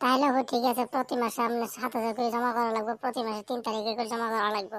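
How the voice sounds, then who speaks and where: Using a cartoonish character voice, a woman holds a fairly high pitch with monotone, flat intonation and very even loudness. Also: fairly quick pace. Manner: mocking and blunt.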